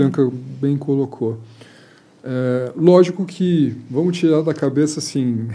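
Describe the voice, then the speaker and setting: The man's pitch is fairly high and his intonation fairly even. Behind his voice there is noticeable background noise. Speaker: automotive engineer and project coordinator. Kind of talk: casual chat. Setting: studio.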